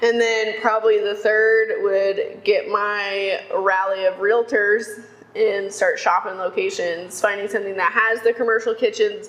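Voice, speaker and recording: A woman's fairly high voice in an American accent, fairly slow and monotone, with flat intonation and very even loudness. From Texas, Houston. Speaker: economic development worker. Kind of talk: casual interview chat.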